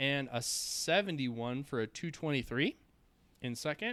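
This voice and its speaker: A man talks in a Minnesotan accent with a bright, sharp tone and ordinary pitch variation. The recording is very clean, with a silent background. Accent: Minnesota. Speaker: shooting sports podcast co-host. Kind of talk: casual podcast chat.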